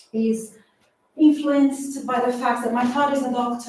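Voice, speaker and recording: Moderate-paced speech from a woman with a Portuguese accent, plus audible room echo. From Brazil. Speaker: artist and doctoral researcher. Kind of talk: public talk at exhibition launch.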